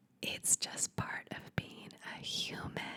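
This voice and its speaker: A woman whispers at a very slow pace in a soothing tone. Noticeable background noise is present. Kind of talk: ASMR whispered advice talk. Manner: whispered, soft, soothing.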